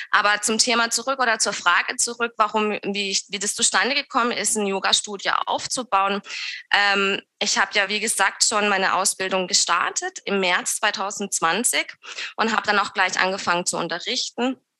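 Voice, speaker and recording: Bright and sharp in tone, a woman speaks at a medium pitch with fairly even intonation. Her pace is moderate. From southern Germany near Swiss border (Lörrach, Baden). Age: 30s. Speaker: yoga teacher and studio owner. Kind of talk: interview conversation. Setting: video call.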